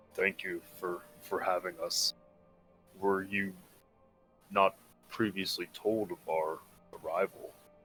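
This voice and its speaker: A man puts on a character voice at a fairly low pitch, speaking fairly slowly with long, frequent pauses. Faint music plays in the background. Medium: actual play. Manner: polite, earnest.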